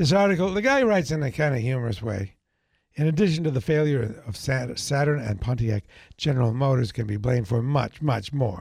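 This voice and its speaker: This man talks at a fairly quick pace, his fairly high, somewhat breathy voice making very wide pitch swings. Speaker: radio talk show host. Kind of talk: casual radio chat. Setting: radio studio. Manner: tends to mumble and speak quickly.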